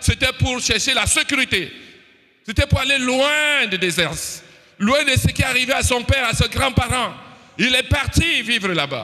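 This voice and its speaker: The speaker uses a raised, projected voice at a fairly slow pace with ordinary pitch variation. Noticeable background noise runs underneath. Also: man. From Cameroon. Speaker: preacher. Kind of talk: sermon.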